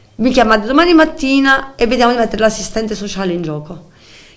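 A woman's fairly high voice with lively intonation and audible room echo. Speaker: mother of a mentally ill son. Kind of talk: emotional testimony. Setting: TV studio.

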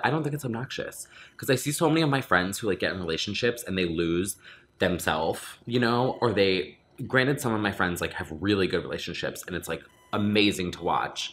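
A low-pitched man talks at a fairly quick pace, with ordinary pitch variation and a fairly bright tone.

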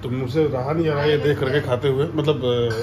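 Noticeable background noise accompanies a man speaking at a moderate pace with fairly even intonation. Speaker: vlogger. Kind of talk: casual vlog chat. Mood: cheerful, playful. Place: home room. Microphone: phone near.

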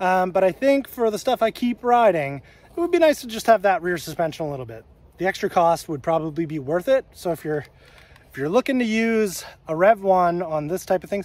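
Speaking at a fairly quick pace, a man with a high pitch uses lively intonation, the sound dry with no echo. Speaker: e-bike reviewer. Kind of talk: casual vlog chat. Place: forest. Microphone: phone near.

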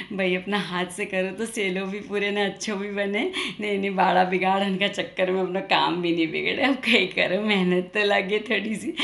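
A woman's medium-pitched voice with an Indori accent, monotone, flat intonation, a moderate pace, hardly any pauses and noticeable background noise. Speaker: comedian. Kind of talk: comic monologue to camera.

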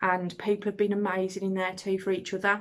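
A woman speaks against a quiet background. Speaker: teacher running a learning channel. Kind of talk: casual vlog chat. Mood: warm, grateful, passionate. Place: home room. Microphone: phone near.

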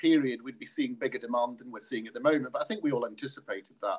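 The background is quiet. A man speaks with very wide pitch swings. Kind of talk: interview answer. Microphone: video call.

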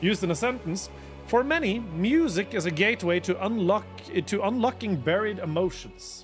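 The voice moves at a moderate pace over clear music in the background. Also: man. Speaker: livestreamer. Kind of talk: casual stream chat. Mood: relaxed, playful. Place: home room. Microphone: studio mic.

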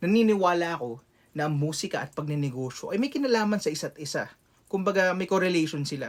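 A man with a high pitch, lively intonation and a very fast pace. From Philippines, Quezon City. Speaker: rapper and content creator. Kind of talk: motivational vlog.

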